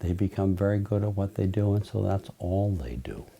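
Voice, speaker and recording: At a moderate pace, a man is talking. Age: 60s. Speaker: trial lawyer. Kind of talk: interview monologue.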